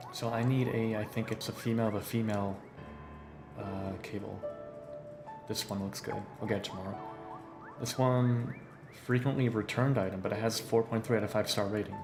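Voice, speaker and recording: With music in the background, a man of medium pitch talks at a fairly quick pace with fairly even intonation and long, frequent pauses. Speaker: voice actor. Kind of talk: casual livestream talk while gaming.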